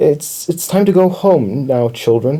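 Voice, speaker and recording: A man puts on a shaky character voice, fairly high in pitch, and talks at a fairly slow pace. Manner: scared, stammering.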